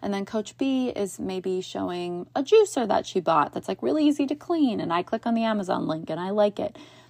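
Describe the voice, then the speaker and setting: A woman's animated, medium-pitched voice with very wide pitch swings, a fairly quick pace and hardly any pauses. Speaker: podcast host and business coach. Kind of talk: solo podcast monologue. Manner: animated, frequent laughter.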